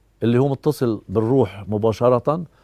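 A man is heard against a quiet background, and the sound is dry with no echo. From Lebanon. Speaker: musician and composer. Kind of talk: documentary interview. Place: garden. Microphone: lapel.

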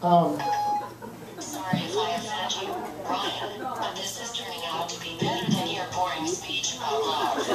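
With music in the background, a man's pitch shows ordinary variation. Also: moderate pace. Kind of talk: wedding speech. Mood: nervous, joking. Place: hall. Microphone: camera far.

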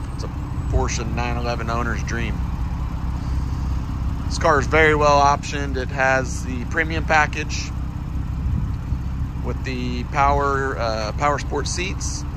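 Over noticeable background noise, a man speaks at a very slow pace with long, frequent pauses, the sound dry with no echo. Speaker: car dealer salesperson. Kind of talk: sales walk-around commentary. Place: street. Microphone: phone near.

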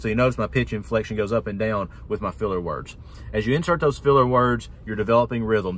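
With vocal fry and lively intonation, a man talks at a fairly quick pace in a dry sound with no echo. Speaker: auctioneer. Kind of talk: casual talk to camera, tutorial. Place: car. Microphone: phone near.

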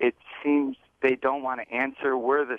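A man's medium-pitched, ordinary speaking voice at a moderate pace. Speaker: caller. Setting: phone call.

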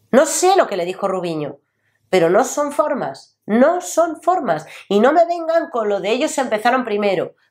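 The speaker is a woman talking at a moderate pace. Her pitch swings very widely. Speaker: lawyer and political commentator. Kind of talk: political opinion vlog. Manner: animated.

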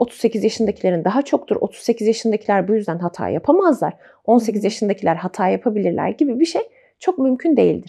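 A woman's fairly high voice with vocal fry, a dark, mellow tone, lively intonation and a fairly quick pace, over a quiet background. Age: 30s. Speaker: psychological counselor. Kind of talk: casual chat. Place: home room. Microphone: lapel.

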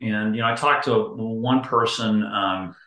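A bright, sharp tone with audible room echo and a quiet background. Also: man. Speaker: interview guest. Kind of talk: interview answer. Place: home room. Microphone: video call.

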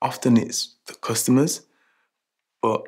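There is a quiet background as a man talks. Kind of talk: scripted monologue to camera, training film. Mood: reflective, uneasy. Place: shop.

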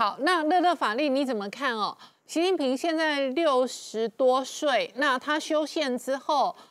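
A woman with a Taiwanese accent speaks at a fairly slow pace and a high pitch, with ordinary pitch variation over a quiet background. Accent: Taiwanese Mandarin. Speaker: TV talk show host. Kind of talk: interview. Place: studio.

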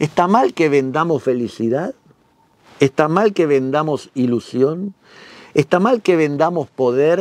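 In a dry recording with no echo, a man speaks at a fairly slow pace with lively intonation. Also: fairly high pitch for a man. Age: 50s. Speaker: magician and magic teacher; magic teacher. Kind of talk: instructional talk. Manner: animated. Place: studio.

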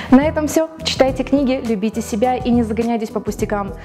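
A woman at a fairly quick pace with ordinary pitch variation, clear music in the background. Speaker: TV presenter, radio and TV announcer graduate. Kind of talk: book recommendation TV show, address to camera. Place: studio.

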